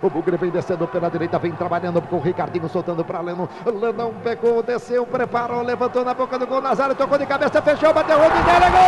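Through noticeable background noise, a man with an extremely high pitch races along very fast, hardly pausing, his pitch swinging very widely. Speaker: radio sports announcer. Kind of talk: live radio football commentary.

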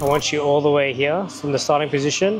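A man at a fairly quick pace, ordinary pitch variation, music playing in the background. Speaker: personal trainer. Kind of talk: coaching instructions. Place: gym. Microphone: lapel.

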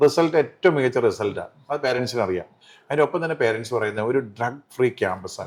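In a very clean recording with a silent background, a man of medium pitch speaks in a normal speaking voice. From Kerala, Thodupuzha (Idukki), raised also in Palakkad. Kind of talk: interview. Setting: college hall.

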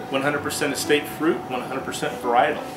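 Loud background noise behind a male voice at a moderate pace. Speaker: winery sales manager. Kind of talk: product presentation. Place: shop.

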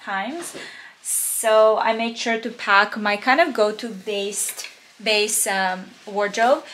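A woman at a very slow pace over light background noise. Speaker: fashion vlogger. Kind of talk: casual vlog chat. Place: home room. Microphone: phone near.

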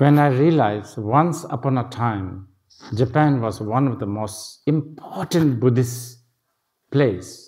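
Against a quiet background, a man with a medium pitch and a somewhat breathy voice speaks at a very slow pace with ordinary pitch variation. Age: 60s. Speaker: Buddhist teacher. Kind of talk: lecture. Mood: calm reflective.

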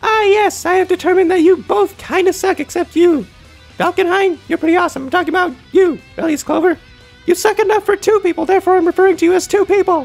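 A man's squeaky, put-on character voice at an extremely high pitch and very fast pace, with faint music in the background. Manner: put-on, jokey.

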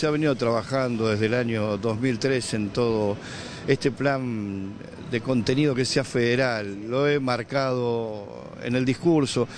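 Talking at a fairly slow pace, a man keeps very even loudness and fairly even intonation, with dry sound, no echo and light background noise. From Argentina. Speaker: government communications official. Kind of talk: press statement to reporters. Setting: speaking to media at an event. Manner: halting, with repetitions. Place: hall. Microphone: handheld.

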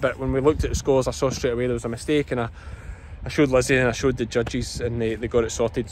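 A man with a strong Scottish accent, very fast delivery, fairly even intonation, dry sound with no echo and light background noise. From Scotland, Ayrshire; Scotland. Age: 30s. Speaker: sheep farmer and vlogger; vlogger. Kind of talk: casual vlog commentary. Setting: outdoors at agricultural show. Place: open country. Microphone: phone near.

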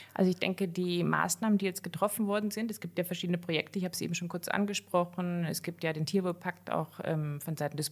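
Intonation here is fairly even. The background is silent and the recording very clean. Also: woman. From western Germany, near Cologne. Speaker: veterinarian. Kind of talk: interview.

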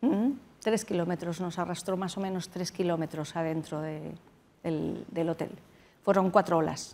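A fairly slow pace with ordinary pitch variation. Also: woman, fairly low pitch for a woman. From Spain, Madrid. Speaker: doctor, tsunami survivor; interview guest. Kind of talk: interview. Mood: serious, recalling traumatic event. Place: studio. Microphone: lapel.

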